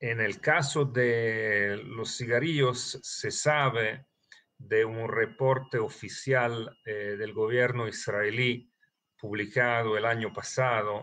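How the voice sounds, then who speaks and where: A man with a non-native accent speaks at a very slow pace. His medium-pitched voice has a bright, sharp tone and fairly even intonation. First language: not Spanish (speaking Spanish). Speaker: terrorism financing analyst. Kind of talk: interview. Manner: halting, many fillers.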